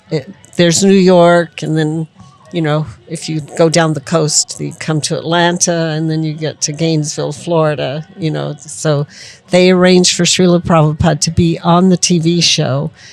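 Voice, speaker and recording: A woman talks in a fairly low pitch at a moderate pace. Her intonation is monotone and flat, with music in the background. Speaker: devotee, disciple of spiritual teacher. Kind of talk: interview answer. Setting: outdoors.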